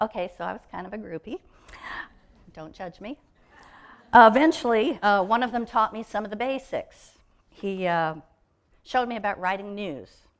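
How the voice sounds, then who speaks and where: A woman's fairly high voice with an American accent, animated tone, lively intonation, big swings in loudness, a moderate pace and long, frequent pauses, on a very clean recording with a silent background. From Texas (Waco). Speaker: speaker at a church service, former radio broadcaster. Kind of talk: sermon.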